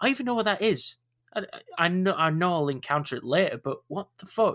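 A man with a Yorkshire accent, bright and sharp in tone, at a fairly quick pace, in a dry, close sound with no echo. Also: very clean recording, silent background. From Yorkshire, northern England. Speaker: podcast host. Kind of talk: casual chat.

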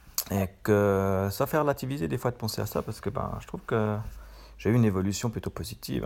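In a normal speaking voice, a man speaks at a moderate pace with lively intonation on a very clean recording with a silent background. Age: 40s. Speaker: web professional and podcaster. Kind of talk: casual monologue. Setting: in bed at home.

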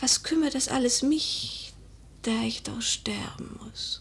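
A woman whispers slowly in a put-on character voice. Vocal fry runs through her words.

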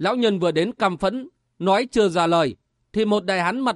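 The background stays quiet while a natural reading voice carries the text.

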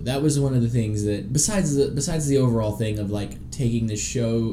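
A medium-pitched man with an American accent at a moderate pace, ordinary pitch variation, noticeable background noise and audible room echo. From US South. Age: 30s. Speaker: podcast host. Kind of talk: casual chat.

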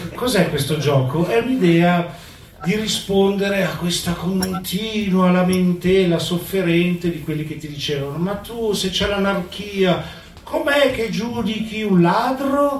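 With lively intonation and a high pitch, a man speaks at a fairly slow pace amid noticeable background noise and audible room echo. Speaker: activist and restaurateur. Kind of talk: talk to a live audience. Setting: community venue with audience.

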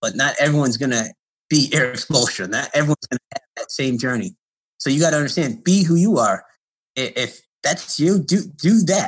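A man with an American accent and a plain, everyday voice speaks at a fairly high pitch with lively intonation. The sound is dry and close, with no echo. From Connecticut, US Northeast. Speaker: college basketball coach. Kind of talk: interview.

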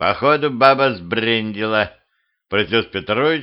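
Someone reads in a natural voice, the pitch varying in an ordinary way. Nothing much is heard behind it.

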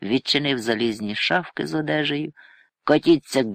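Against a quiet background, the clip is plain reading aloud.

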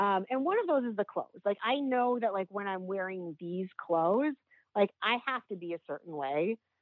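At a moderate pace, a woman with a normal speaking voice and medium pitch uses lively intonation. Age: 40s. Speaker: sex worker. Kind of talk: casual interview.

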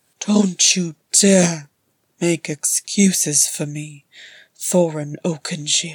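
A raspy, put-on character voice speaks at a middle pitch. The pace is very slow. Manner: biting, full of self-contempt.

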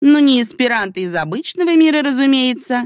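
A woman puts on a character voice at a high pitch and fairly quick pace. Her voice has a hissing quality. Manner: venomous, hissing sarcasm.

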